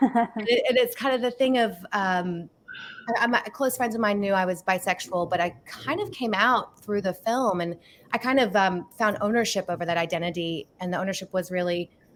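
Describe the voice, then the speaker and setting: In an American accent, a woman speaks at medium pitch. Her pace is moderate and her pitch variation ordinary. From Australia. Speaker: filmmaker. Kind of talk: interview.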